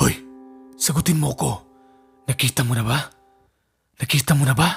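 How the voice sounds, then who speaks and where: A man's put-on character voice at a medium pitch, with faint music in the background. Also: moderate pace. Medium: read story.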